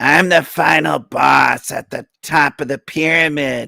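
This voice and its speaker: Putting on a character voice, a man sounds raspy and fairly high-pitched at a fairly slow pace. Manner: exaggerated, boastful.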